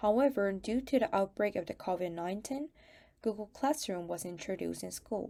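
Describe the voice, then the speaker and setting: With a Korean accent, a woman of medium pitch and a dark, mellow tone speaks at a fairly quick pace with lively intonation, on a very clean recording with a silent background. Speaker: student. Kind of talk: prepared testimony talk.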